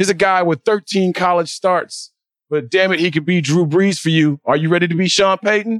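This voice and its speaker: Heard with a dry, close sound and no echo, a man with an American accent talks at a moderate pace in a high pitch, keeping his loudness very even. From Chicago. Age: 40s. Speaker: sports podcast host. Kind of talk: sports talk podcast monologue, exasperated fan rant at the team. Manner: animated, sarcastic and repetitive, hammering points home.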